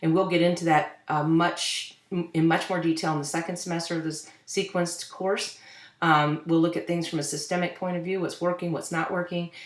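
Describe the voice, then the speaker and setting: Over audible room echo, a woman with a fairly low pitch speaks at a fairly quick pace in a monotone, flat intonation. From Louisville, Kentucky. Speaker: social work professor. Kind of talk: online course introduction lecture. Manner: fast; halting, many fillers.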